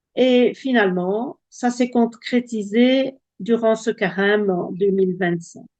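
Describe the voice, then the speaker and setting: In a Belgian accent, the speaker talks at a very slow pace in a dark, mellow tone with ordinary pitch variation. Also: woman. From Belgium. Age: 70s. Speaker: testimony giver. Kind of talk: testimony. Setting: video call. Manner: halting.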